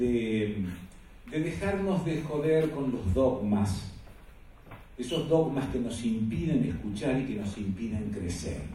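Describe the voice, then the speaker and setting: There is audible room echo and noticeable background noise as a man talks very slowly with very wide pitch swings. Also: medium pitch for a man. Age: 60s. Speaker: panel moderator, journalist. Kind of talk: panel discussion talk.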